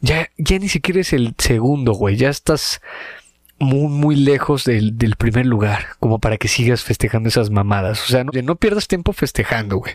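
With a Mexican accent, a man speaks at a moderate pace and medium pitch, his intonation lively, in a dry, close sound with no echo. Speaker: comedy podcast co-host. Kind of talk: casual chat. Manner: animated.

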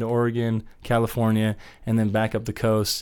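On a very clean recording with a silent background, a man with a Midwestern American accent speaks at a fairly quick pace in a medium pitch. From Wichita, Kansas. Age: 30s. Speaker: musician. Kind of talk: casual interview.

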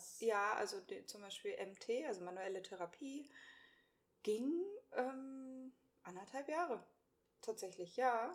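Speaking at a very slow pace with long, frequent pauses, a woman with a fairly high pitch shows big swings in loudness. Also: lively intonation. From Hannover, northern Germany. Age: 30s. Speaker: podcast co-host, virtual assistant. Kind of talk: casual chat.

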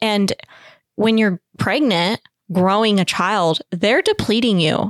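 An ordinary speaking voice moves at a fairly slow pace with ordinary pitch variation in a dry, close sound with no echo. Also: woman. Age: 20s. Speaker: small bakery business owner. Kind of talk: casual chat.

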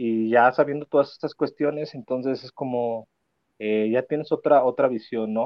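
With a Mexican accent, a man speaks at a medium pitch and a moderate pace, using ordinary pitch variation. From Mexico, León, Guanajuato. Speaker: adoption consultant. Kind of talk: interview testimony.

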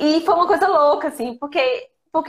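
A woman is speaking. Her intonation is lively. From Brazil, interior of Minas Gerais. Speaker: fashion consultant. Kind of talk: casual interview.

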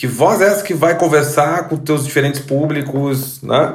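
A man with a Rio Grande do Sul accent speaks at a fairly high pitch in a somewhat breathy voice, with audible room echo. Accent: gaúcho. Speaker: sound strategist, podcast host. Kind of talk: interview.

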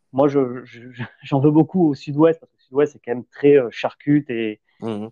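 Speaking at a fairly slow pace in a southwestern French accent, the voice shows ordinary pitch variation. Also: man. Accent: southwest French. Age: 30s. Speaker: ex-gendarme, landscaper. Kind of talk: casual chat.

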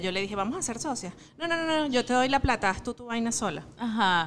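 This woman has an unremarkable speaking voice and moves at a fairly quick pace. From Venezuela, Miranda state. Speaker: mother and small business owner. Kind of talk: interview. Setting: restaurant.

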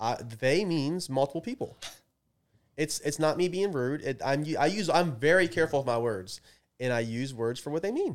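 A man with an American accent speaks at a moderate pace in a fairly high pitch, with lively intonation and an ordinary speaking voice. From Maryland, Baltimore area. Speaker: podcast co-host. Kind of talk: casual chat.

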